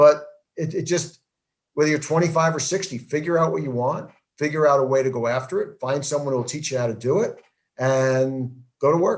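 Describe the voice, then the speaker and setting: Using an ordinary speaking voice, a man with an American accent talks at a fairly quick pace, with fairly high pitch and ordinary pitch variation. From New Jersey. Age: 60s. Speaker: network marketing entrepreneur. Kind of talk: interview.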